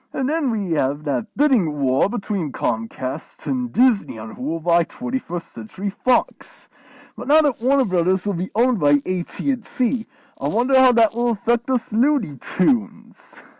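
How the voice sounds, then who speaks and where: A put-on character voice at a middle pitch swings very widely up and down. The pace is moderate, and the recording is very clean with a silent background. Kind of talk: in-character vlog rant.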